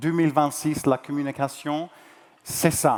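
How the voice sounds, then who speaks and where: A man at a very slow pace. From New Zealand. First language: English (speaking French). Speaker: journalist and conference moderator. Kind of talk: event moderation to live audience. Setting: stage with audience. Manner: hesitant, with fillers.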